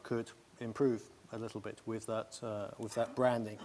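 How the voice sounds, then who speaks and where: A man speaks in a British accent at a fairly slow pace. His intonation is fairly even. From Britain. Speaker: travel industry panelist. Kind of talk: panel discussion.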